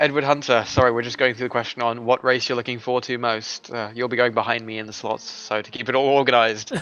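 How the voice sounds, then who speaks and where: A man at a very fast pace with hardly any pauses, monotone, flat intonation, and noticeable background noise. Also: medium pitch for a man, big swings in loudness. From Germany. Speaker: sim racing commentator. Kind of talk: live commentary.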